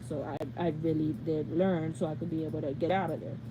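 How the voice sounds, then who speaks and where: A woman talks at a moderate pace in a somewhat breathy voice. Her tone is dark and mellow. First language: Spanish. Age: 20s. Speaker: YouTuber. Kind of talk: live Q&A. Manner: casual rambling.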